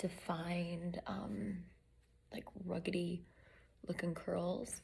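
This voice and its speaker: A woman whispers in a somewhat breathy voice. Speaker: beauty vlogger. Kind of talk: tutorial. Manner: whispering; casual, filler-heavy.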